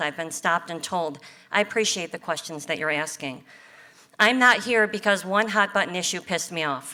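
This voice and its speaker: Her pitch medium and its variation ordinary, a woman speaks in an ordinary speaking voice. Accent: American. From US Midwest, Ohio. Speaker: city council candidate. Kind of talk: candidate speech.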